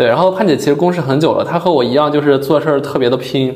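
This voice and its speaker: Noticeable background noise and audible room echo surround this man's voice. His pitch is fairly high and shows ordinary variation. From Yuncheng, Shanxi, China. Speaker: podcast host. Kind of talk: casual interview chat.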